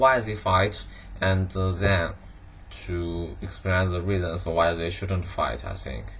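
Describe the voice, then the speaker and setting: A man with a Chinese accent talks at a very slow pace and a very deep, low pitch, with audible room echo and noticeable background noise. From China, Guangdong. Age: 20s. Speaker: student. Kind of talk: monologue answering interview questions. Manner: halting, many fillers and restarts.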